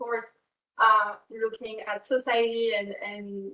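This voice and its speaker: In a French accent, a woman talks at a fairly high pitch. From France. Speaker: fashion brand co-founder and creative director. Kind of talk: class talk to students. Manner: halting, with many fillers.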